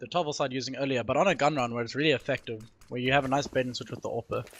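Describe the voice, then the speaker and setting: Very fast speech over noticeable background noise. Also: man. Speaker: esports analyst. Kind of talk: live commentary.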